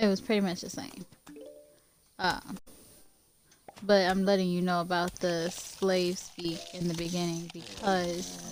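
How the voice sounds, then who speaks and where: Very slow speech from a woman at medium pitch with an American accent, over noticeable background noise. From Louisiana, US South. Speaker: streamer. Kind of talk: casual chat while gaming livestream. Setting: livestream while gaming.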